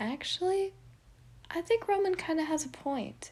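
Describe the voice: A woman's put-on character voice, extremely high in pitch, slightly mellow in tone, fairly slow, with lively intonation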